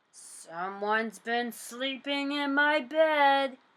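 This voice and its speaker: In a put-on character voice, a woman growls in a gruff, high-pitched tone at a very slow pace. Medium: read story. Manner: gruff, growling.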